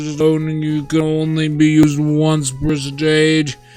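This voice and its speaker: Faint music plays behind a man doing a put-on character voice pitched fairly high. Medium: game stream. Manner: formal, long-winded exposition.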